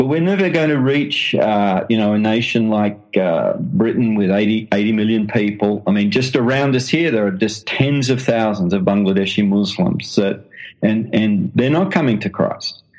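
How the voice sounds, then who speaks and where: With an Australian accent and hardly any pauses, a man speaks at a medium pitch with lively intonation and very even loudness. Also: moderate pace. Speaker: missionary and author. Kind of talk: interview. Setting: phone call. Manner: halting.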